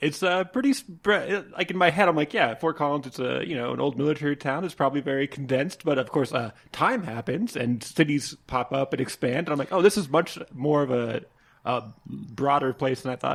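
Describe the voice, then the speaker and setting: A man with a normal speaking voice talks at a fairly quick pace, his fairly high pitch showing ordinary variation. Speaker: podcast host. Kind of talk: casual interview. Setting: on location at a brewery.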